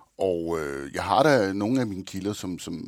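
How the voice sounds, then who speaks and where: A man with an unremarkable speaking voice talks at a moderate pace and a fairly low pitch, on a very clean recording with a silent background. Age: 50s. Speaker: thriller author. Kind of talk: interview.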